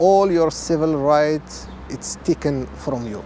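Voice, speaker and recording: A man with an Arabic accent speaks at a very slow pace. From Morocco, Marrakesh. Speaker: refugee and interpreter. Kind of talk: testimony. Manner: halting.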